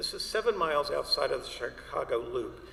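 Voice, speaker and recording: With an American accent, a man talks at a moderate pace over noticeable background noise. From Atlanta, Georgia, US South. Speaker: landscape architect, lecturer. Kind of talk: illustrated lecture. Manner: halting, with fillers.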